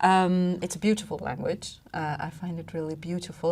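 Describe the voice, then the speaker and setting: The tone is dark and mellow, somewhat breathy, at a moderate pace. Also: woman. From Iran and Belgium. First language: Farsi, then French. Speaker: public health official. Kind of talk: podcast interview. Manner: hesitant, many fillers.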